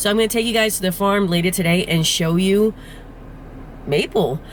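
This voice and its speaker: The speech carries a New Jersey accent and ordinary pitch variation, with noticeable background noise. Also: woman. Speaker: farmer and farm vlogger. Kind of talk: casual vlog narration.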